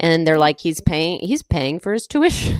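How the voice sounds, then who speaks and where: Speaking at a moderate pace with an American accent, the voice has an animated tone and very wide pitch swings, recorded dry and close with no echo. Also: woman. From Texas, Austin. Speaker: stand-up comedian. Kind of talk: casual chat.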